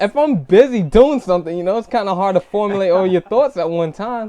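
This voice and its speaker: A man with a high-pitched voice speaks over noticeable background noise. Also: lively intonation, fairly quick pace. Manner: halting, repeated syllables.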